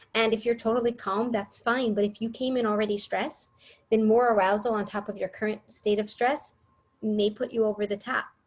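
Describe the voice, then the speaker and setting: This woman speaks at a fairly high pitch. Her voice is somewhat breathy. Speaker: early childhood education trainer. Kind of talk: workshop presentation.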